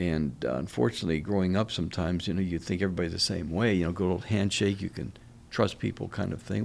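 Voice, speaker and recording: Very fast and lively in intonation, a man speaks in a very deep, low voice with vocal fry. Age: 70s. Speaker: oral surgeon. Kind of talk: interview. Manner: halting.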